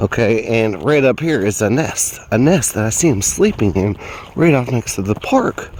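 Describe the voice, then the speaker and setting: With lively intonation, a man speaks at a moderate pace and medium pitch. There is noticeable background noise. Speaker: amateur bigfoot researcher. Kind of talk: outdoor walkthrough video. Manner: casual, hesitant with fillers.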